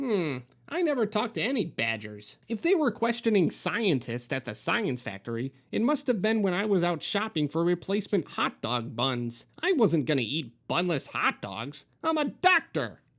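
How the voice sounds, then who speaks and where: A man puts on a character voice with a high pitch and very wide pitch swings. He keeps a moderate pace in a very clean recording with a silent background. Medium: read story. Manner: fussy, rambling.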